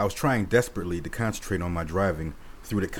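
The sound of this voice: Pitch shifts in an ordinary way as an unforced reading voice goes on.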